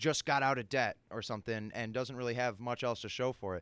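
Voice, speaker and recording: A man speaks in a normal speaking voice at a medium pitch with ordinary pitch variation, the sound dry and close with no echo, on a very clean recording with a silent background. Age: 20s. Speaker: podcast co-host. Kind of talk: casual chat.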